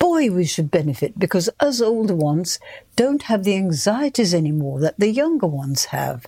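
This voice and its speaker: A woman's somewhat breathy, dark, mellow voice at a medium pitch, with very wide pitch swings and a fairly slow pace. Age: 70s. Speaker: retired yoga student, host's mother. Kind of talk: casual chat.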